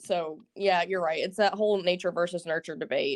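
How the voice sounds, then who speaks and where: A woman's fairly low voice with a Southern US accent and fairly even intonation, in dry, close sound with no echo and a quiet background. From US South, Alabama. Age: young. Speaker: caller. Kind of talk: casual chat.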